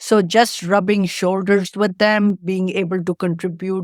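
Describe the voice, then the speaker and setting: A woman with an Indian accent speaks at medium pitch and a moderate pace, in a monotone, flat intonation. The sound is dry and close, with no echo. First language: Indian language, not English. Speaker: tech entrepreneur. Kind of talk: interview.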